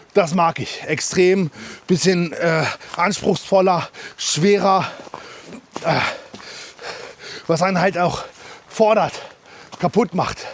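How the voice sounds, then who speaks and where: Over noticeable background noise, a man speaks very slowly at a high pitch, with fairly even intonation and long, frequent pauses. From Germany, Harz region. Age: 30s. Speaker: hiking vlogger. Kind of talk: casual vlog monologue while trail running. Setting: outdoors, mountain trail. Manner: halting, many fillers.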